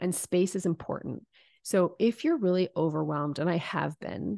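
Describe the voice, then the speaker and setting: A woman speaks at a moderate pace in a fairly low pitch, with a dark, mellow tone and ordinary pitch variation. The sound is dry and close with no echo, over a quiet background. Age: 40s. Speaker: business coach and founder. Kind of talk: interview.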